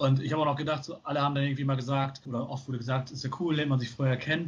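A man with a northern German accent speaks very fast at a medium pitch, somewhat breathy. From northern Germany, small town near Bremen. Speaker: educator in youth welfare. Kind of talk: casual chat. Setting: video call. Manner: relaxed, easygoing.

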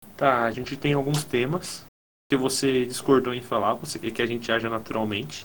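Moderate pace and medium pitch from a man with an unremarkable speaking voice and ordinary pitch variation. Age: 20s. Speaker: podcast co-host. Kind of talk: casual chat.

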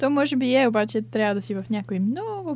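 A woman with a somewhat breathy, medium-pitched voice talks at a moderate pace. Her pitch swings very widely. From Bulgaria, Sofia. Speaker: illustration student. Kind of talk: interview.

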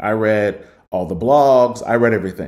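A man with a Midwestern American accent, at a fairly slow pace. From Cincinnati, Ohio. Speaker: music journalist and author. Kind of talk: interview.

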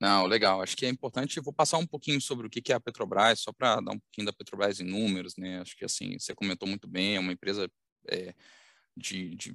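A man talks at a very fast pace in a fairly low pitch. The sound is dry and close with no echo against a quiet background. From Minas Gerais, Brazil (Belo Horizonte). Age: 30s. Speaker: company executive. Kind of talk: interview. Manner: halting, many fillers.

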